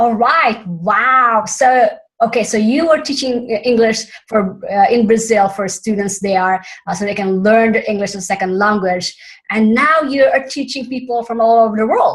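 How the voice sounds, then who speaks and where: A woman with a Filipino accent and a fairly high pitch sounds somewhat breathy, using ordinary pitch variation at a moderate pace. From Philippines. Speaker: summit host. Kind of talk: interview.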